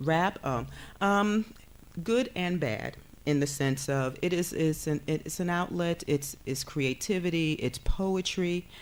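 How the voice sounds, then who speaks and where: A woman with an American accent, fairly low-pitched, lively in intonation, at a very slow pace. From New York, South Bronx. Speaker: counseling professor. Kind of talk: TV talk show interview. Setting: TV studio. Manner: many filler sounds (um, uh).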